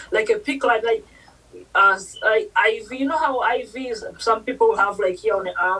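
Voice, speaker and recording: The speaker uses very wide pitch swings and a bright, sharp tone at a moderate pace, with a non-native accent. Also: woman, high pitch for a woman. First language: not English. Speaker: nurse. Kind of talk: interview.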